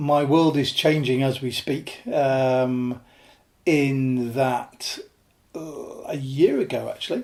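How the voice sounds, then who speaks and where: Very slowly, a man speaks with a northern English accent. His pitch is fairly high. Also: fairly even intonation. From northern England, Lake District (born Yorkshire). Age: 50s. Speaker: alpinist. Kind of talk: interview podcast conversation. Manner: halting with many fillers.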